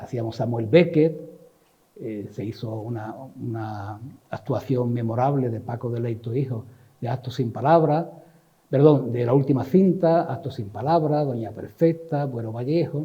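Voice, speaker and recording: Against audible room echo, a man with a medium pitch speaks at a fairly slow pace, somewhat breathy, with ordinary pitch variation and big swings in loudness. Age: 70s. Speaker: cultural manager and activist. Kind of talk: talk / reminiscence lecture. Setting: literary society event with audience. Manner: halting, with many fillers.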